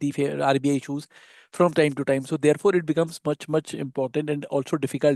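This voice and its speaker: A man speaks at a very fast pace in a dark, mellow tone with monotone, flat intonation. The sound is dry and close with no echo, over a quiet background. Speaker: panelist on legal compliance. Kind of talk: webinar presentation. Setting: online webinar. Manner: quiet, low volume; hesitant, many fillers.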